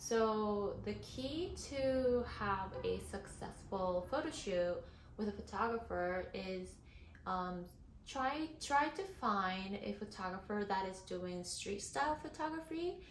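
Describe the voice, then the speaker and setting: Audible room echo and noticeable background noise surround a woman of medium pitch. She talks at a very slow pace with lively intonation. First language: not English. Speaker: model and content creator. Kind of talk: tutorial. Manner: casual, many fillers.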